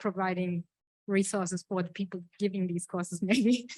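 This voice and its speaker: In a German accent, the speaker delivers monotone, flat intonation at a moderate pace, the sound dry and close with no echo against a quiet background. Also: woman. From Germany. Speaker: conference audience member. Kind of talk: audience comment. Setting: lecture hall with audience. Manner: halting.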